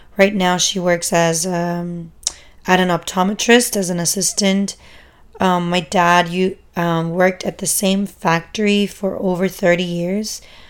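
At a fairly slow pace, a woman speaks in a monotone. Her flat intonation stays at a medium pitch. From Germany. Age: 20s. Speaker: podcast host and exotic dancer. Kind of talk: casual monologue. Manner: informal, many fillers.

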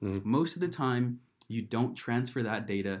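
A man speaks in a normal speaking voice with ordinary pitch variation. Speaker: startup co-founder. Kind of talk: casual chat.

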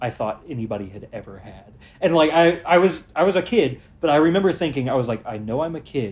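With lively intonation, this man talks in a somewhat breathy voice. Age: 20s. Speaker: podcast co-host. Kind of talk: casual chat.

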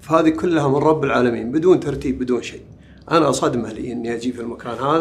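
A man with an unremarkable speaking voice talks at a fairly quick pace and medium pitch. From southern Saudi Arabia, village between Tathlith and Wadi al-Dawasir. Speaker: poet. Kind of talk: interview. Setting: book fair venue.

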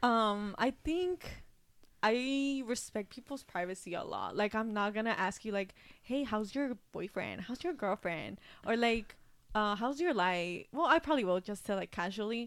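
At a moderate pace, a woman with a fairly high pitch and lively intonation has an ordinary speaking voice. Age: 20s. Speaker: podcast co-host. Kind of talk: casual chat.

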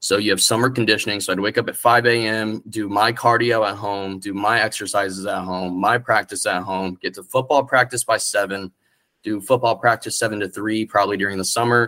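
On a very clean recording with a silent background, a man with a bright, sharp tone and fairly low pitch talks at a fairly quick pace with hardly any pauses. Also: fairly even intonation. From central Florida, rural Orlando area. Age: 20s. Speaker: small press founder and writer. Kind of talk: casual chat.

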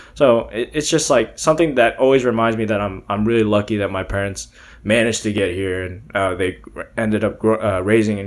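The speaker has an American accent and a normal speaking voice. The pitch varies in an ordinary way. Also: man. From Texas, Beaumont. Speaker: podcast guest, musician. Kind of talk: casual chat.

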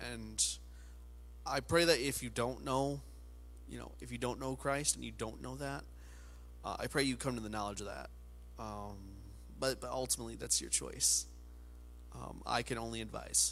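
Amid audible room echo, a man speaks at a moderate pace with long, frequent pauses and big swings in loudness. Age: 20s. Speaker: pastor. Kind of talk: sermon. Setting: studio with camera, alone at a table. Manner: casual, halting with many fillers.

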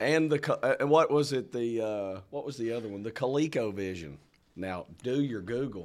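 With a Southern US accent, a man speaks at a moderate pace in a medium pitch and lively intonation. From Arkansas. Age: 40s. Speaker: pastor and podcast co-host. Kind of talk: casual chat.

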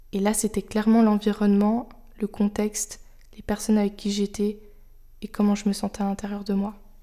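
A woman speaks at a medium pitch in a dark, mellow tone, her intonation monotone and flat. Her pace is moderate, broken by long, frequent pauses. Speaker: podcast host. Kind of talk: solo monologue. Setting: home, on her sofa. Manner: unscripted, hesitant.

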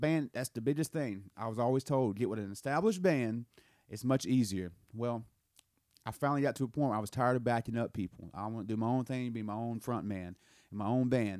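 Speaking with a Southern US accent at a medium pitch, a man shows ordinary pitch variation in a dry, close sound with no echo and a very clean recording over a silent background. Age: 30s. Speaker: podcast host and musician. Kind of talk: casual chat.

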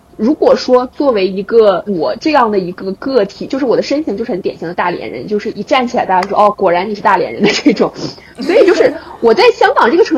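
Over noticeable background noise, a woman speaks fairly quickly in a high pitch with very wide pitch swings. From Dalian, northeast China. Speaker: podcast host. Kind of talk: casual chat.

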